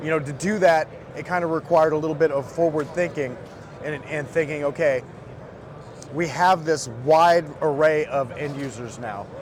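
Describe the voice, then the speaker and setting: A man's fairly high voice at a moderate pace, with fairly even intonation and noticeable background noise. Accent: American. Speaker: firearms company representative. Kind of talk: product demo interview. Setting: trade show booth.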